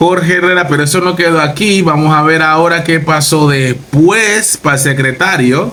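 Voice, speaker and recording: Speaking at a moderate pace with hardly any pauses, a man with a Panamanian accent has a fairly high pitch, ordinary pitch variation, very even loudness and an animated tone. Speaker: political reaction youtuber. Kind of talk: live reaction commentary.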